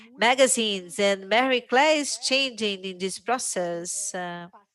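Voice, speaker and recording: Her voice sits at a medium pitch, and this woman's pitch moves with ordinary variation. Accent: Portuguese. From Brazil. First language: Portuguese. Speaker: journalist. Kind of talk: panel discussion. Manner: hesitant, many fillers.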